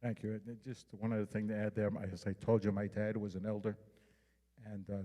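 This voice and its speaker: Fairly quick and monotone, with flat intonation, a man speaks in a dark, mellow tone. He has a slight New York accent. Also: fairly low pitch for a man. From New York City, Manhattan. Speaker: homeland security outreach official. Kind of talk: public presentation.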